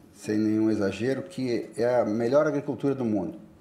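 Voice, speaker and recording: This man has a medium pitch. Audible room echo colors his voice. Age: 60s. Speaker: politician and farmer. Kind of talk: panel discussion. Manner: halting.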